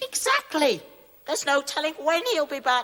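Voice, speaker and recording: A squeaky, high-pitched put-on character voice moves along at a moderate pace. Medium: audio drama. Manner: formal, stately.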